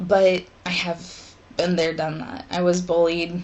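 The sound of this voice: Slowly and with little pitch movement, a woman talks at a fairly low pitch in a slightly mellow tone.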